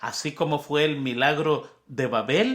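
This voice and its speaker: Recorded very cleanly against a silent background, a man with a Spanish accent speaks at a fairly slow pace. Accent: Spanish-speaker's accent in English. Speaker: Bible study teacher. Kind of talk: Bible lesson review. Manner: conversational, repetitive emphasis.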